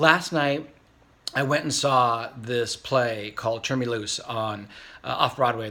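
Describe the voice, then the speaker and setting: With a bright, sharp tone, a man talks at medium pitch with fairly even intonation. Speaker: vlogger. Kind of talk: casual vlog monologue. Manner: fast.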